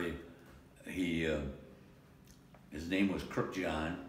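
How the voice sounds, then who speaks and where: A man with an American accent speaks at a fairly slow pace. Audible room echo surrounds the voice. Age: 90s. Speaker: war veteran. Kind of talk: interview. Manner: halting.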